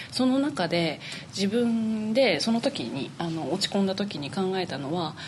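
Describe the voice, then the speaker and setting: A woman with lively intonation talks at a fairly slow pace while noticeable noise sounds in the background. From Niigata, Japan (Tsubame). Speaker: flute player. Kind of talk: interview.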